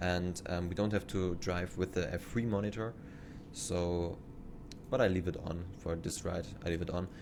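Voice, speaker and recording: A man with a German accent speaks at a very deep, low pitch, at a moderate pace with fairly even intonation. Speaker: train simulator YouTuber. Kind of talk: gameplay commentary. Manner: halting.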